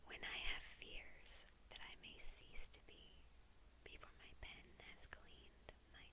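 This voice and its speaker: The pace is very slow. A woman delivers it in a whisper. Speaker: ASMR creator. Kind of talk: poetry reading. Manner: whispered. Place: home room. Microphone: lapel.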